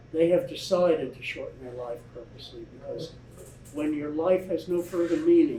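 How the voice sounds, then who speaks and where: Big swings in loudness over noticeable background noise. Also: man, high pitch for a man, ordinary pitch variation, moderate pace. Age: 70s. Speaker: author. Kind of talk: audience Q&A. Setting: bookstore event with live audience. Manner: halting, repeats words.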